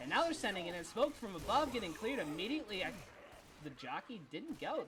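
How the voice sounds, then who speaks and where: Over noticeable background noise, a man talks at an extremely high pitch with very wide pitch swings. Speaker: esports caster. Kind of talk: live commentary. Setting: live stream. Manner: animated.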